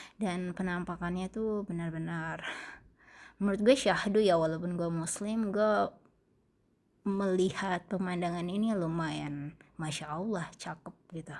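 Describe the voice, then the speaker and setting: Speaking fairly slowly with fairly even intonation, a woman with a fairly low pitch comes through on a very clean recording with a silent background. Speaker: travel vlogger. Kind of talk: vlog narration. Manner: casual, halting.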